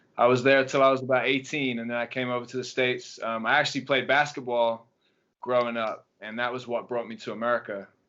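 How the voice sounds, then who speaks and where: With an English accent, a man at medium pitch talks at a very fast pace in monotone, flat intonation. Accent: English accent, noticeable. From England. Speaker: track and field coach. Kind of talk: podcast interview. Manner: hesitant, many fillers.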